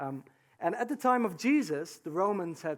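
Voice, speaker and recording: The man speaks at a moderate pace with a non-native accent. His intonation is lively. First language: not English. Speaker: preacher. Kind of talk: sermon. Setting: church with congregation. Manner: halting, many fillers.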